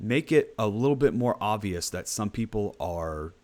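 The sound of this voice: Lively intonation from an unforced reading voice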